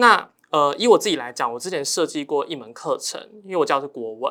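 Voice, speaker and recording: A man with a bright, sharp tone and fairly high pitch speaks at a fairly quick pace with lively intonation, in a very clean recording with a silent background. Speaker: high school Chinese teacher. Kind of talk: casual chat.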